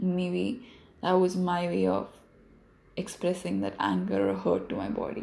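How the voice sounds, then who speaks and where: A woman speaks with long, frequent pauses. Room echo is audible. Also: fairly slow pace. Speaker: solo podcaster. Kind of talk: casual monologue. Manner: rambling, reflective.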